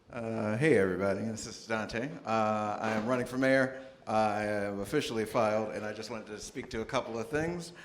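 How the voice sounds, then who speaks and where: A man speaks at a fairly quick pace with hardly any pauses. Room echo is audible around his voice. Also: medium pitch for a man, ordinary pitch variation. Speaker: mayoral candidate. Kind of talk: public forum statement. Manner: fast.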